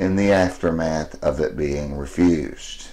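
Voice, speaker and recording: A man speaks at a fairly slow pace in a dark, mellow tone with ordinary pitch variation. Room echo is audible. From US South, Alabama. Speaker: fan vlogger. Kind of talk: personal video message.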